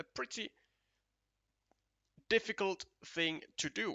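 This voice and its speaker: The speaker is a man with a Finnish accent. He talks at a fairly slow pace. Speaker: esports commentator. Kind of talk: live commentary. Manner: halting, many fillers.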